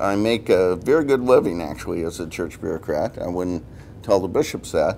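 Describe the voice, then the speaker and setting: A man with a normal speaking voice talks at a fairly low pitch with lively intonation. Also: fairly quick pace. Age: 60s. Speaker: church policy director. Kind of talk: guest lecture to a class. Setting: university classroom. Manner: conversational, with many filler uhs.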